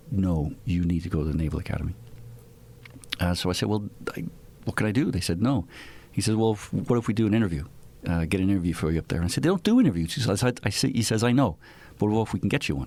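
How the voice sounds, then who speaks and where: The speech is very fast, with lively intonation and an Irish accent. Long pauses come often. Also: man. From Ireland (Dublin). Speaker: retired naval aviator. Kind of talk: casual interview chat.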